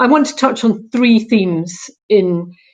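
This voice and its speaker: A woman speaks with a Scottish accent at a fairly high pitch. Her pitch variation is ordinary. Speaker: local councillor. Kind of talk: conference panel talk.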